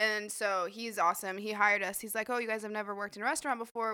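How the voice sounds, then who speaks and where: A woman with an American accent, fairly high in pitch, very fast and monotone, with flat intonation. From Idaho. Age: 20s. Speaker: medical assistant and phlebotomist, former server. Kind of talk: casual chat. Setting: studio podcast recording, drinking wine.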